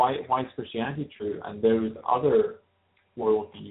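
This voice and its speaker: With a Glaswegian accent, a man speaks at a fairly slow pace with long, frequent pauses. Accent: Glaswegian Scottish. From Scotland, Glasgow. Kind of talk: interview. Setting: phone call. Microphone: Skype connection issues.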